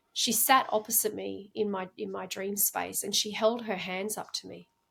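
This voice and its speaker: This woman speaks with an Australian accent. Her pace is moderate. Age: 40s. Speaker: incense crafter and reiki practitioner. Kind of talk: podcast interview. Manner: hesitant, many fillers and repeats.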